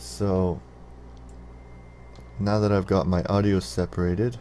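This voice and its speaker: A soft-spoken man's very deep, low voice with very wide pitch swings. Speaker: gaming YouTuber. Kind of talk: tutorial. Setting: screen recording with Open Broadcaster.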